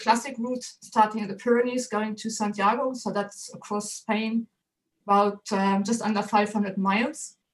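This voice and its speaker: Speaking with a German accent, a woman has a fairly high, somewhat breathy voice and monotone, flat intonation. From Germany. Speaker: photographer and author. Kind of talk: interview.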